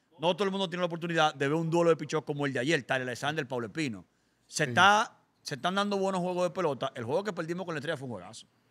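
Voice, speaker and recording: Bright and sharp in tone, a man talks at a very fast pace. His pitch moves with ordinary variation. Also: fairly high pitch for a man. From Dominican Republic. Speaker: podcast host; podcast guest or host. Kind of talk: casual chat. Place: studio. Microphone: studio mic.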